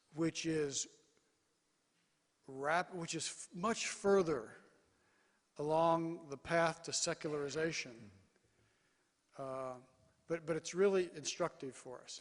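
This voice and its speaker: This man talks at a very slow pace in a high voice, with long, frequent pauses, big swings in loudness, and ordinary pitch variation. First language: English (speaking Korean). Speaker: mission organization leader. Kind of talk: conference keynote speech. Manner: short phrases, pausing for interpreter.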